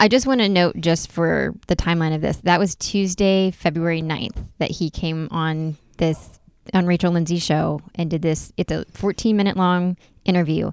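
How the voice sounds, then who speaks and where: With an American accent, a woman has a plain, everyday voice and a fairly low pitch. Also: fairly even intonation, moderate pace. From North Carolina, US South. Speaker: podcast co-host. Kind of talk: casual chat.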